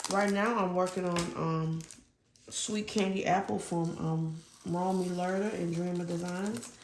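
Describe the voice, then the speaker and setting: Her pitch fairly low, a woman speaks at a fairly slow pace with ordinary pitch variation, amid audible room echo and noticeable background noise. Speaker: diamond painting hobbyist YouTuber. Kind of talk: casual chat while crafting. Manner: loud. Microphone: lapel mic not clipped on, may be quiet.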